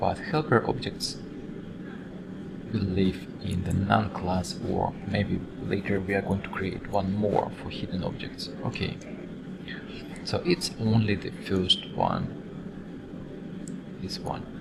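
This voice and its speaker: A man with a non-native accent and fairly low pitch speaks very slowly with ordinary pitch variation and long, frequent pauses, amid noticeable background noise and audible room echo. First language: not English. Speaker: design software instructor. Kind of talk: screen-recorded tutorial. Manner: halting, with fillers and repeats.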